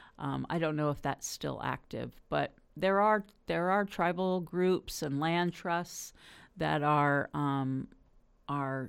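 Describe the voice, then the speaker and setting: A woman with a Californian accent speaks at a very slow pace with a very deep, low pitch and ordinary pitch variation. The recording is very clean, with a silent background. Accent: Californian American. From US West Coast, Los Angeles. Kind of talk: interview.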